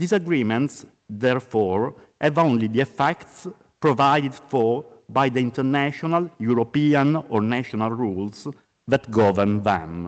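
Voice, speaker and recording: Speaking at a fairly slow pace, a man with an Italian accent has a medium-pitched voice. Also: lively intonation. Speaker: law professor. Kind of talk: conference lecture. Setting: conference. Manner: formal.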